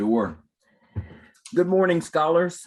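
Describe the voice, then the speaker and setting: A man with a slight South Texas accent swings his pitch very widely. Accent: slight Southern Texas. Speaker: education program director. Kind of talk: career panel talk.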